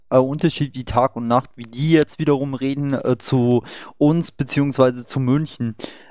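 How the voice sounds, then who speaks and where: Fairly slow and fairly even in intonation, a man talks in a medium pitch. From Upper Bavaria. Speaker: online discussion host. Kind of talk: casual panel discussion. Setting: voice chat online.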